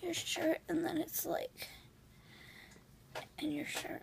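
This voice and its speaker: The speech moves at a very slow pace against noticeable background noise. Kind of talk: groggy casual talk. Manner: slurred, drowsy post-anesthesia speech. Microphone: phone near.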